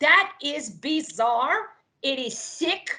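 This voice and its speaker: A woman's raised, projected voice with a Serbo-Croatian accent, bright and sharp, lively in intonation, at a very slow pace. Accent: Balkan (Serbo-Croatian) accent in English. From Yugoslavia. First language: not English; English is her third language. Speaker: political candidate. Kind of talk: political interview.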